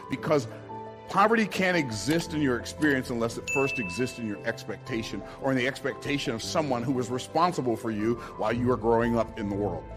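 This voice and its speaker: Over music in the background, a man with a medium pitch speaks at a fairly quick pace in an energetic, passionate tone with lively intonation. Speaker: business speaker. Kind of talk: motivational speech.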